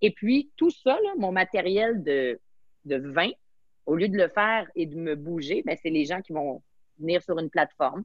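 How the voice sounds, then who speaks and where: A fairly low female voice with a Quebec accent, lively intonation and an animated tone, at a fairly slow pace. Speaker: sommelier and entrepreneur. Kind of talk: interview.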